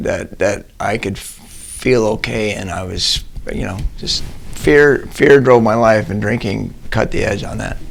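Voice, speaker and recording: The voice moves at a moderate pace, with noticeable background noise and audible room echo. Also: man. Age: 60s. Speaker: recovering alcoholic sharing his story. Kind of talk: testimony. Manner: halting.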